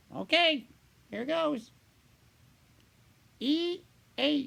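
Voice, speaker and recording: A man's put-on character voice, pitched extremely high. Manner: excited, upbeat.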